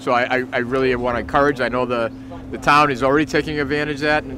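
A man talks at a very fast pace in a flat monotone, his voice dry with no echo over noticeable background noise. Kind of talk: interview statement. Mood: appreciative, formal. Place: factory.

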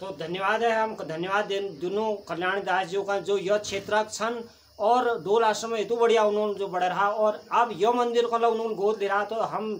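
Pitched high, a man speaks at a moderate pace with fairly even intonation, light background noise behind him. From Uttarakhand. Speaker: video host. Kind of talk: interview. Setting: outdoors at a temple. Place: home room. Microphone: phone near.

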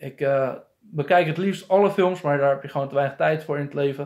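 Against a quiet background, a man talks at a moderate pace. His fairly high pitch shows ordinary variation. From Netherlands. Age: 30s. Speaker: film reviewer. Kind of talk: casual vlog review. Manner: hesitant, many filler sounds. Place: home room. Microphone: phone near.

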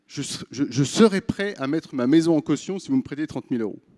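The intonation is lively over a quiet background. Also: man. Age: 30s. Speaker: startup founder and CEO. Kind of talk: pitch presentation. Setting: stage with audience. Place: stage. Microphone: handheld.

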